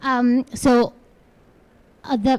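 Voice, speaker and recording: A woman speaks with a dark, mellow tone. Her voice is somewhat breathy. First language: neither English nor Portuguese. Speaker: panelist at climate event. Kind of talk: panel talk. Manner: halting.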